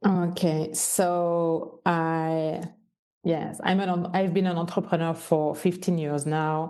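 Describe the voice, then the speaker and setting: Very slowly, a woman speaks in a Swiss French accent with a dark, mellow tone. Her voice is fairly low, her intonation fairly even. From French-speaking Switzerland. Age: 50s. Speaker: entrepreneur and business mentor. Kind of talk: podcast interview.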